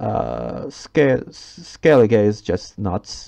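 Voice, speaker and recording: A man speaks with a non-native accent and a dark, mellow tone. Vocal fry runs through his voice. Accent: non-native English pronunciation. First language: Turkish. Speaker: gaming YouTuber. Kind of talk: game review commentary. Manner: halting, many fillers.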